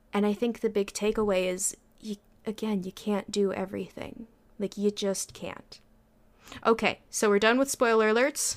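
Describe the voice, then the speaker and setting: A woman with an unremarkable speaking voice talks at a moderate pace and medium pitch, keeping her intonation fairly even. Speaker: podcast co-host. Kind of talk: casual chat.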